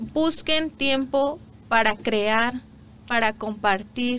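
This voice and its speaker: At a very slow pace, a woman speaks in a fairly high, bright, sharp tone with ordinary pitch variation. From Mexico, Guerrero and Morelos. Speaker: immigrant entrepreneur, former lawyer. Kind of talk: interview. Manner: animated.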